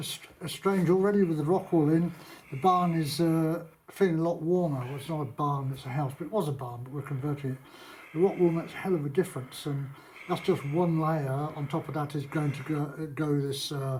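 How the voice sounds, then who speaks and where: The speaker talks at a fairly quick pace with a British accent and fairly even intonation. The voice is somewhat breathy. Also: man, fairly high pitch for a man. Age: 70s. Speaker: vlogger and property renovator. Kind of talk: casual vlog talk. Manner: halting, with many fillers.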